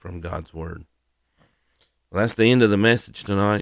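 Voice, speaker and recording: A man's very deep, low voice in a Southern US accent, with fairly even intonation, on a very clean recording with a silent background. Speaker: podcast host and ministry leader for firefighters. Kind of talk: devotional Bible lesson. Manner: halting with many fillers.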